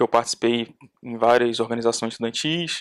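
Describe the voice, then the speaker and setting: With no echo, this man's voice comes across dry and close. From Brazil, Duque de Caxias (Rio de Janeiro state). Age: 20s. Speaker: petroleum engineering student. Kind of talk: podcast interview.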